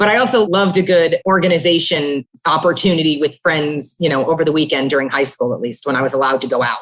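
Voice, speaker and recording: A woman speaks at a very fast pace in an American accent. Her voice is very deep and low. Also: ordinary pitch variation, hardly any pauses. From US Northeast, New Jersey. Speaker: payments executive. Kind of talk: interview.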